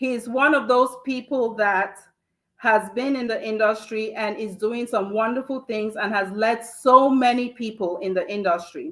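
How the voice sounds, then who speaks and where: A woman's animated, fairly high voice at a fairly slow pace, with ordinary pitch variation. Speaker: talk show host, healthcare professional. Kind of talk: live show interview intro. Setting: virtual studio, in person together. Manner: loud, shouting.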